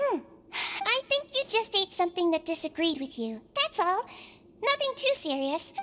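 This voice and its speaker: At an extremely high pitch, a woman performs a put-on character voice. She keeps a moderate pace with very wide pitch swings. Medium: video game. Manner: soft, soothing.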